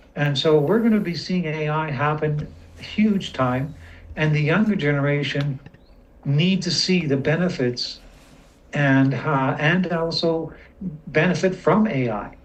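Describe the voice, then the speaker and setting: Room echo is audible as a man with a fairly high pitch speaks at a fairly slow pace with ordinary pitch variation. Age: 60s. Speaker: community member asking questions. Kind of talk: casual chat.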